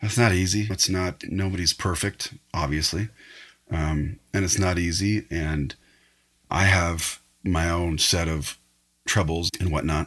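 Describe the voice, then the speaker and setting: A man with a West Coast US accent talks in a very deep, low pitch. His intonation is fairly even, and the recording is very clean with a silent background. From northern California. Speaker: photographer. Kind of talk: casual chat.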